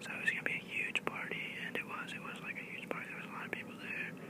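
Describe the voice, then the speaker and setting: A man whispers at a fairly quick pace in a relaxed tone. Noticeable background noise runs beneath him. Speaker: ASMR YouTuber. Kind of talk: casual talk to camera. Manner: whispered, relaxed storytelling.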